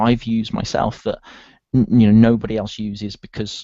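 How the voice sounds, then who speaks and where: In a strong British accent, a man speaks in a dark, mellow tone, the sound dry and close with no echo over a quiet background. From UK. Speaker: online marketer. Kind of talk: interview.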